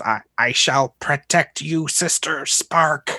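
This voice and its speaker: Very slow, fairly high-pitched put-on character voice from a man. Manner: devoted, solemn.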